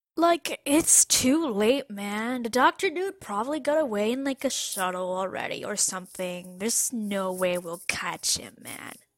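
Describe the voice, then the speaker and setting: A woman does a put-on character voice, drawling at a moderate pace with hardly any pauses and a fairly high pitch. Her pitch swings very widely and her loudness swings a lot, the sound dry and close with no echo. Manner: laid-back hippie drawl.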